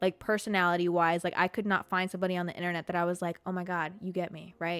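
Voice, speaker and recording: A woman talks at a very fast pace in a monotone, flat delivery. The recording is very clean, with a silent background. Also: fairly low pitch for a woman. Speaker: podcast host. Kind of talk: casual monologue. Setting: live stream. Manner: stutters.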